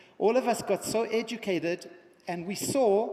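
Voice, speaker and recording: A man's animated, high-pitched voice with ordinary pitch variation, against noticeable background noise. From South Africa. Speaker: education entrepreneur and keynote speaker. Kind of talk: conference keynote speech. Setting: stage with audience.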